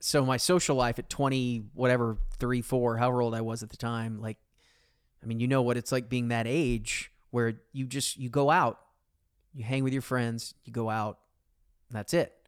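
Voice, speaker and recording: Speaking at a moderate pace with medium pitch and fairly even intonation, a man leaves long, frequent pauses. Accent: Texan. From Texas, Arlington. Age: 40s. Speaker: sports radio host. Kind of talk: casual chat.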